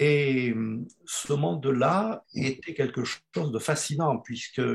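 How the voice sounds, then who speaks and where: With lively intonation and a somewhat breathy quality, this man talks at a medium pitch. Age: 70s. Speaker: retired geology professor. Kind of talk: panel interview.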